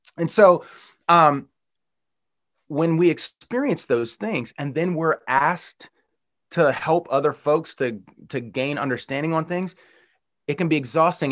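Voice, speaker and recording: With an American accent, a man has an ordinary speaking voice at a fairly high pitch and ordinary pitch variation. The background is quiet. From Western Pennsylvania. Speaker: pastor. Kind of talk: sermon.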